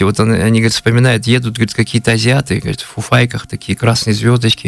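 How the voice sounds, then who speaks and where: A medium-pitched man with fairly even intonation, over noticeable background noise. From Kalmykia, Russia. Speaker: blogger, history storyteller. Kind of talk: radio interview, history storytelling. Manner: halting, many fillers.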